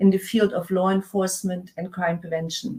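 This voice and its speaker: At a fairly quick pace, a woman speaks in a somewhat breathy voice at medium pitch. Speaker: conference MC. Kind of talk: conference introductions. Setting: virtual conference. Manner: hesitant, many fillers.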